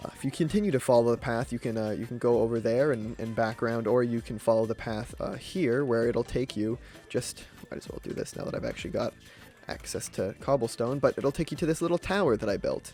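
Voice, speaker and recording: Over music in the background, a man talks at a very fast pace with a medium pitch. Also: ordinary pitch variation. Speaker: gaming YouTuber. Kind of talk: gameplay commentary. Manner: halting, many fillers and repeats.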